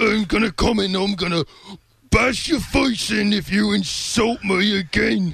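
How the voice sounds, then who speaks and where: Putting on a character voice with a menacing tone, a man speaks at a high pitch and a moderate pace. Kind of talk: fantasy.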